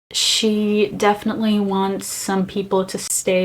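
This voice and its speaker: A woman at medium pitch with a Brazilian accent and fairly even intonation. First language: Brazilian Portuguese. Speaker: vlogger. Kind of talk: casual vlog talk.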